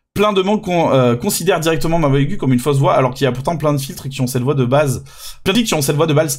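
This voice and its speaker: A man's fairly high, somewhat breathy voice at a very fast pace. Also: ordinary pitch variation. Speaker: VTuber streamer. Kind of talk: casual reaction stream commentary. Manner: hesitant, many repetitions and fillers.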